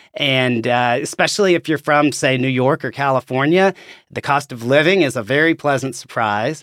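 Spoken with an Arkansas accent at a moderate pace, with ordinary pitch variation. The sound is dry and close with no echo, in a very clean recording with a silent background. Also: man, fairly high pitch for a man. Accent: Southern US (Arkansas). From Arkansas, US South. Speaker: laboratory chief executive and pathologist. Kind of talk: casual interview.

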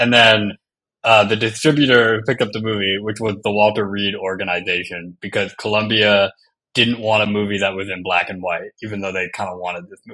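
A man's fairly low voice with a bright, sharp tone, fairly even intonation, a fairly quick pace and big swings in loudness. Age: 30s. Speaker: podcast guest. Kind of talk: casual chat.

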